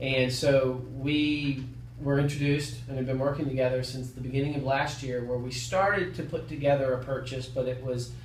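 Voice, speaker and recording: Monotone, flat male speech in an American accent at medium pitch, hardly any pauses, audible room echo and noticeable background noise. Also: moderate pace. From US South. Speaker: loan officer. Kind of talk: interview. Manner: hesitant, many fillers.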